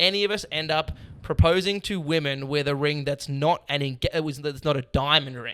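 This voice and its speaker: In a very clean recording with a silent background, a man with an Australian accent sounds animated, his fairly high voice bright and sharp, with ordinary pitch variation. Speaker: comedian. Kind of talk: casual chat.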